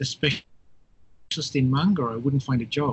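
A man speaks with an Australian accent at a moderate pace. His pitch is fairly high and his voice is somewhat breathy. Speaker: professor. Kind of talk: interview. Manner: halting.

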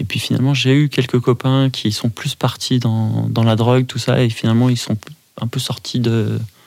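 The voice holds a monotone, flat intonation at a moderate pace. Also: man. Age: 40s. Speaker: podcast guest, father of two. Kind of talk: personal interview. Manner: halting.

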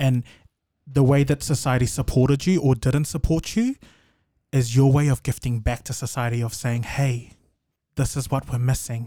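A man with a New Zealand accent speaks at a moderate pace and medium pitch, with fairly even intonation and long, frequent pauses. His tone is dark and mellow, somewhat breathy, on a very clean recording with a silent background. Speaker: podcast guest. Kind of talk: casual chat.

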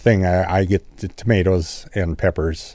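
Speaking at a fairly slow pace, a man has a very deep, low pitch and ordinary pitch variation. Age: 70s. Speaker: master gardener. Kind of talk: casual radio chat. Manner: hesitant, filler-heavy.

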